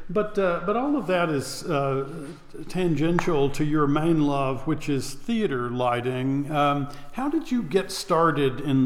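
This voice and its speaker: A man's fairly high-pitched voice at a very slow pace, with very even loudness. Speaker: theater artistic director and podcast host. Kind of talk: casual interview chat.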